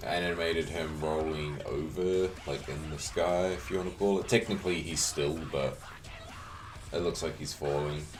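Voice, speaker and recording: Music plays in the background and room echo is audible as a man with a very deep, low pitch speaks in a relaxed tone, with fairly even intonation and a moderate pace. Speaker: video editor and 3D hobbyist. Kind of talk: casual tutorial commentary. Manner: casual, relaxed.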